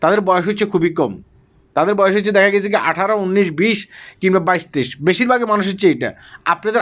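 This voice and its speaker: A man with high pitch speaks on a very clean recording with a silent background. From Bangladesh. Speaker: social media commentator. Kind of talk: vlog commentary.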